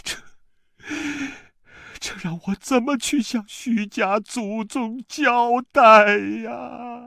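A man's raised, projected voice, high in pitch, at a very slow pace with long, frequent pauses and fairly even intonation, in a dry, close sound with no echo and a very clean recording over a silent background. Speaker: voice actor. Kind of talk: audiobook novel reading.

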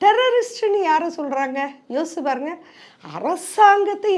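A woman speaks with lively intonation at an extremely high pitch. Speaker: political commentator. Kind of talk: political commentary monologue.

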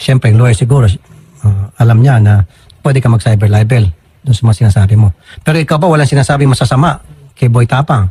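At a very fast pace, a man delivers his words at a medium pitch in a dark, mellow, somewhat breathy tone, with very even loudness and a dry, close sound with no echo. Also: ordinary pitch variation. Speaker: public service radio host handling complaints. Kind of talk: complaint-handling interview on air.

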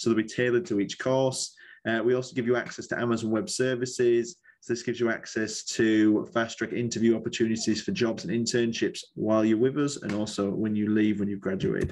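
Here a man speaks in a Yorkshire accent. His pace is fairly quick and his intonation fairly even. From northern England (Yorkshire); northern England. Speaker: university recruiter. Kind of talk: presentation at a virtual college fair. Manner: casual, jokey. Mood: relaxed, friendly. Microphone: webcam.

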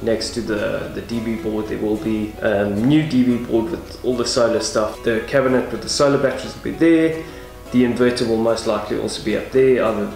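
Clear music plays in the background. A man speaks with audible room echo. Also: ordinary pitch variation, fairly quick pace. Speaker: vlogger. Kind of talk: casual vlog chat. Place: garage. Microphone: phone near.

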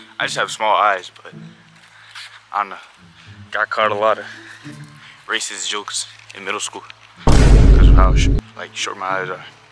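A man speaks at a moderate pace, his loudness swinging widely and his speech broken by long, frequent pauses. Noticeable noise sits behind him. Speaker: vlogger. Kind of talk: casual vlog chat. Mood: relaxed, joking. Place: street. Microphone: phone near.

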